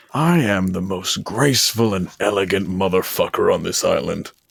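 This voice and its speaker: A man does a put-on character voice with lively intonation at a moderate pace. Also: fairly low pitch for a man. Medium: actual play. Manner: cocky, casual, crude.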